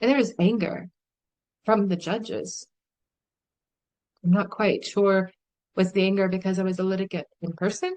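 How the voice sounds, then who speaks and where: With an American accent, a woman speaks at a medium pitch and a moderate pace, her intonation fairly even and broken by long, frequent pauses. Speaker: vlogger. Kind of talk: personal testimony monologue. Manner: emotional.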